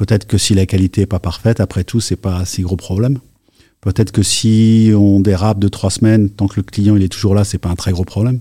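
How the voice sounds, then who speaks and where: Dry and close with no echo, a man's fairly low, dark, mellow, somewhat breathy voice moves at a fairly quick pace in monotone, flat intonation. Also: very clean recording, silent background. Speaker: tech executive. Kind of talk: interview. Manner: halting.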